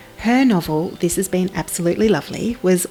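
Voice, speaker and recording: A woman talks at a fairly quick pace with a fairly low pitch and ordinary pitch variation. Music plays in the background. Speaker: podcast host. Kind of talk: podcast intro.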